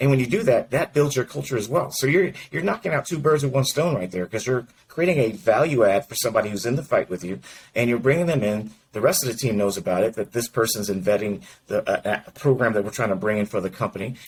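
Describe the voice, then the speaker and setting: Somewhat breathy and at a medium pitch, a man races along at a very fast pace with lively intonation. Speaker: mortgage industry executive and coach. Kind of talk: interview conversation. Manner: mumbles slightly.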